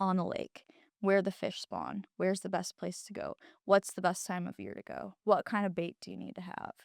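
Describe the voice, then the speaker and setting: A woman speaks with a Midwestern American accent at a moderate pace, her loudness swinging widely. The sound is dry and close, with no echo. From Illinois. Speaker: university staff member. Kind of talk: casual chat. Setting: studio.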